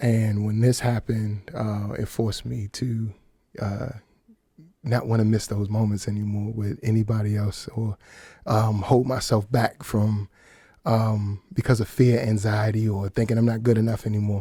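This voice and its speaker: Monotone, flat intonation in a dark, mellow, somewhat breathy tone at a moderate pace. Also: man, fairly low pitch for a man. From Washington, D.C. area, US. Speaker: singer and songwriter. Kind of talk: radio interview. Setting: radio studio.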